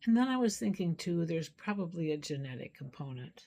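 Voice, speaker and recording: A woman with a very deep, low pitch speaks in a dark, mellow, somewhat breathy tone with lively intonation. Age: 80s+. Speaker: social worker. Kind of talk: personal recollection monologue. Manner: halting, with repetitions.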